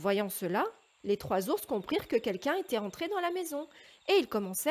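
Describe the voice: Simple, plain reading aloud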